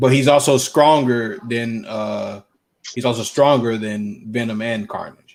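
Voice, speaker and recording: The man's pace is fairly slow. He talks in a Southern US accent. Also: medium pitch for a man, ordinary pitch variation. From US South. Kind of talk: casual chat.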